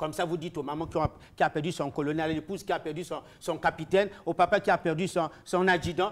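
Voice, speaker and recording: This man's voice sits high in pitch. He talks at a very fast pace. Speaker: political commentator. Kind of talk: heated debate. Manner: loud; animated.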